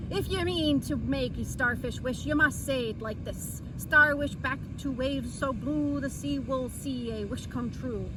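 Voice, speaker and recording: A woman's put-on character voice, rumbling and gruff, at a moderate pace with hardly any pauses over loud background noise. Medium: read story. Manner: gruff, grumbling.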